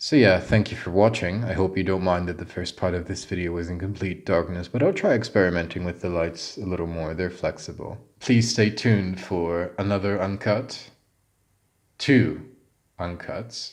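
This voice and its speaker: Very deep and low, a man's voice with an English accent moves at a moderate pace with ordinary pitch variation. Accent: English-sounding. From Bulgaria. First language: Bulgarian. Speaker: YouTuber, English philology student. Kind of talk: casual vlog monologue. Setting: home bedroom.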